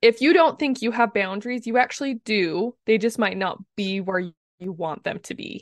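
In an unremarkable speaking voice, a woman with an American accent talks at a moderate pace and a fairly high pitch, her intonation lively and her loudness swinging widely, with a dry, close sound and no echo. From US, southeastern Utah. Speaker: communications coach. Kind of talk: interview.

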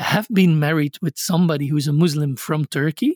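A man with a high voice is captured in a very clean recording with a silent background and a dry, close sound with no echo. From Belgium. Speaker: scholar of religion. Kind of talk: interview.

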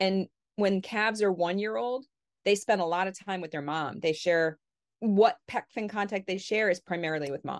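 Using a normal speaking voice with an American accent, a woman talks at a medium pitch and moderate pace with ordinary pitch variation, in a very clean recording with a silent background and a dry, close sound with no echo. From Connecticut, New England. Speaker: dolphin researcher. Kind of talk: interview conversation.

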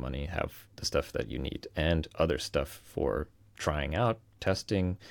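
Vocal fry runs through this voice with an American accent and ordinary pitch variation. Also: man. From US East Coast, Virginia. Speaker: freelancer turned software founder. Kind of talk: interview conversation.

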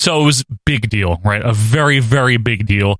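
Dry and close with no echo, a man's ordinary speaking voice moves at a moderate pace and medium pitch with ordinary pitch variation. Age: 30s. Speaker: podcast host. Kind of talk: casual chat.

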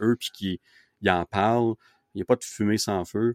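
In a Quebec accent, the speaker goes at a moderate pace on a very clean recording with a silent background and a dry, close sound with no echo. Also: man. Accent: Québécois French. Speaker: podcast host. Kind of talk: casual chat. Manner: animated.

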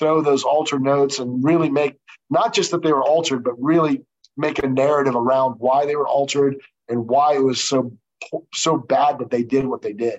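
A man with an ordinary speaking voice talks at a fairly quick pace, his pitch fairly high and his intonation fairly even. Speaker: trial lawyer and former judge. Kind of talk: interview.

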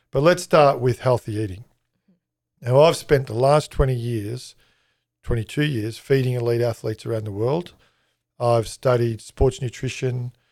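On a very clean recording with a silent background, a man with an Australian accent talks at a moderate pace and medium pitch, with ordinary pitch variation and long, frequent pauses. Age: 50s. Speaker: chef and catering consultant. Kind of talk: interview. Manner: hesitant, many fillers.

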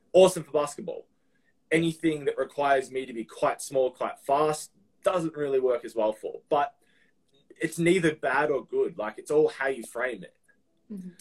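A man with an Australian accent speaks at a moderate pace and fairly high pitch, with ordinary pitch variation. His loudness swings widely, and long pauses come often. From Melbourne, Australia. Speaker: personal trainer. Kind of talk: casual chat.

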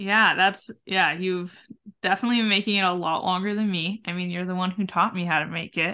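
A woman with an unremarkable speaking voice speaks at a medium pitch with fairly even intonation. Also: fairly quick pace. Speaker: podcast host. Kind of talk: casual interview chat.

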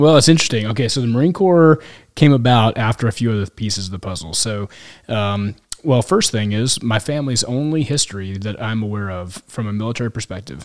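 An American-accented man speaks at a fairly quick pace and medium pitch, with an unremarkable speaking voice. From Kansas City, US Midwest. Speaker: military pilot. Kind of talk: casual chat. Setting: in person, Yuma, Arizona.

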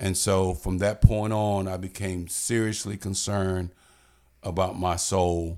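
In an American accent, a voice with a dark, mellow tone speaks at a fairly slow pace with monotone, flat intonation on a very clean recording with a silent background. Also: man, very deep, low pitch for a man. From Florida, Pensacola. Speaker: retired police chief and pastor. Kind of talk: interview. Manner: halting.

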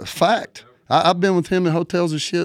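A man talks at a moderate pace with a Southern US accent. The recording is very clean, with a silent background. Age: 50s. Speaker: country music singer. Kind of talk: casual chat. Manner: animated.

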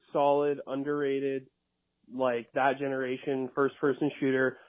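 With a Canadian accent, a man speaks in a normal speaking voice at a fairly high pitch and a fairly slow pace. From Canada, British Columbia. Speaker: listener calling in. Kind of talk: voicemail. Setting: recorded voicemail.

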